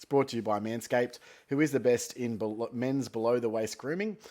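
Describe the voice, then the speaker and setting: A man of medium pitch speaks with an Australian accent on a very clean recording with a silent background. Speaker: fantasy football podcast host. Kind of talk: casual solo talk. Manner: lethargic.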